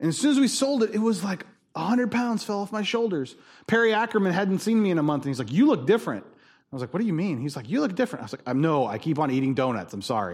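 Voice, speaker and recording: Loud and very fast, a man speaks at a high pitch with very wide pitch swings. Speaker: pastor. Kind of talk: sermon. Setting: church.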